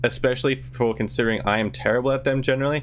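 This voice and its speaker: A man speaks with vocal fry. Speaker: gaming YouTuber. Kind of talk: gaming tutorial. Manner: fast; enthusiastic.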